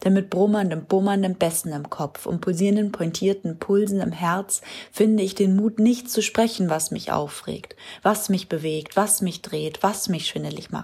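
The woman's voice is somewhat breathy and pitched at a medium level. She talks at a moderate pace with fairly even intonation. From Hamburg. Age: 20s. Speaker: poetry slammer. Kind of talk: poetry slam performance.

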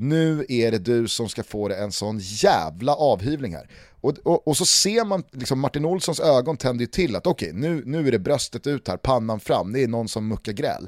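The voice moves at a moderate pace with very wide pitch swings, recorded dry and close with no echo. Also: man, medium pitch for a man, very clean recording, silent background. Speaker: football podcast host. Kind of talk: casual chat.

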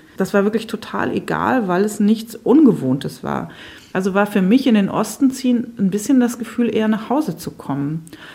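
A woman talks at a moderate pace with a fairly high pitch and lively intonation. Noticeable background noise is present. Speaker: writer. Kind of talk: interview.

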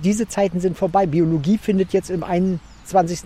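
A high-pitched man's voice over noticeable background noise. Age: 50s. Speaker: botanist and garden curator. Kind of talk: interview while walking through a botanical garden.

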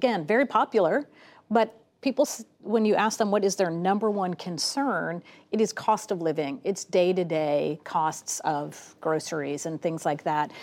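With lively intonation, a woman speaks in an unremarkable speaking voice at a medium pitch and moderate pace, in a very clean recording with a silent background. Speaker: political analyst. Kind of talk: news panel discussion.

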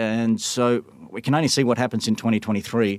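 A man with an Australian accent and medium pitch talks at a moderate pace. The recording is very clean, with a silent background. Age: 40s. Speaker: stay-at-home dad who live-tweeted government press conferences. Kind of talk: interview.

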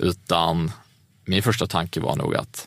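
A man is speaking. His voice has vocal fry. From Skåne, southern Sweden. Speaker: entrepreneur. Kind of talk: interview. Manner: halting, many fillers.

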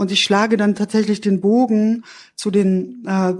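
This woman speaks at a fairly slow pace with a medium pitch and a dark, mellow tone. The recording is very clean, with a silent background. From eastern Germany (GDR), Erfurt, Thuringia. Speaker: author and literary critic. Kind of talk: interview at a book premiere; reading aloud from own book. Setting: stage with live audience.

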